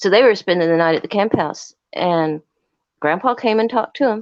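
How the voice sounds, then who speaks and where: An unremarkable speaking voice at a fairly quick pace. The background is quiet. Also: woman. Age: 60s. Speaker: live stream caller. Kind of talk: casual chat.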